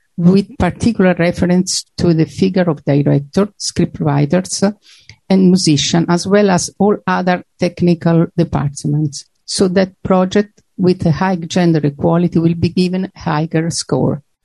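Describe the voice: In a dry, close sound with no echo, a woman speaks with a fairly low pitch, a dark, mellow tone and vocal fry, keeping a moderate pace, fairly even intonation and few pauses.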